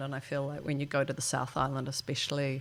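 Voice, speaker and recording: A woman speaks at a fairly quick pace with a very deep, low pitch. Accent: New Zealand. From New Zealand, Wellington. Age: 60s. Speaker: futurist. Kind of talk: podcast interview. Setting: indoors with harbour view.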